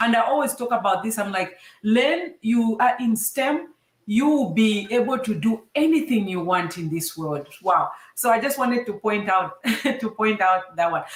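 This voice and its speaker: At a moderate pace, a woman with a fairly high pitch uses lively intonation in a somewhat breathy voice. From Zambia. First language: a Zambian language (English is second). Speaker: STEM show host, engineer. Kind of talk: casual interview. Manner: animated.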